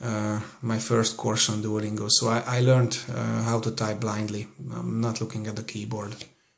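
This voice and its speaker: Over noticeable background noise, a man with a Hungarian accent speaks in a monotone, flat intonation at medium pitch and a moderate pace. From Hungary. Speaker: language learner vlogger. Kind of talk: casual screen-recorded tutorial. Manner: halting, many fillers.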